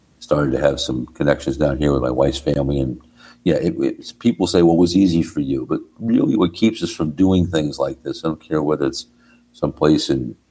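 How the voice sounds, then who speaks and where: A man's very deep, low voice with a dark, mellow tone, vocal fry, ordinary pitch variation and a fairly quick pace. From New Jersey. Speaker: rock drummer. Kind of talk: podcast interview answer.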